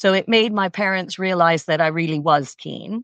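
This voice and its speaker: A woman with a slight Canadian accent, medium in pitch with ordinary pitch variation, at a fairly slow pace, with a dry, close sound with no echo and a quiet background. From Canada. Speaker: equestrian coach. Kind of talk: interview.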